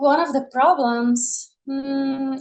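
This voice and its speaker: A high-pitched woman's voice with a Portuguese accent. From Brazil (Rio de Janeiro). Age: 20s. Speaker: podcast guest. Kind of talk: podcast interview.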